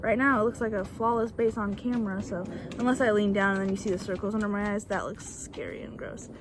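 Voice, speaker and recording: A woman rattles off her words very quickly while background noise is clearly heard. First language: Bulgarian. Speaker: beauty YouTuber. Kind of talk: makeup tutorial. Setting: outdoors on back porch. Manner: casual, chatty.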